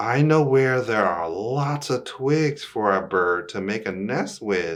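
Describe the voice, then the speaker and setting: A man's put-on character voice at medium pitch and a fairly slow pace, in a very clean recording with a silent background. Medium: read story.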